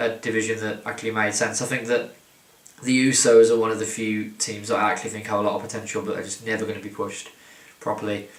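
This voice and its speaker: Over noticeable background noise, a man mumbles at a very fast pace, his medium pitch held in a monotone, flat intonation. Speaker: wrestling commentator. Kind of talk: casual talk to camera. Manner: rambling, mumbling.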